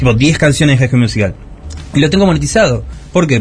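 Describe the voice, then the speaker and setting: With music in the background, a man talks at a medium pitch with lively intonation. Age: 30s. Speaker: youtuber. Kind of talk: interview.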